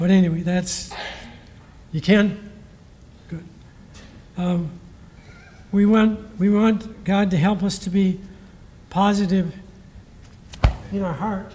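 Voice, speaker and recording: Speech comes at a very slow pace, broken by long, frequent pauses. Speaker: former baseball coach giving a blessing. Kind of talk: ceremony speech with prayer. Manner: soft-spoken; halting.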